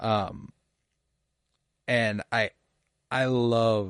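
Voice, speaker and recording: Over a quiet background, a man's fairly low voice comes through dry and close with no echo, his intonation fairly even. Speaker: podcast host. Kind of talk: solo podcast review. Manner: halting, stuttering over words.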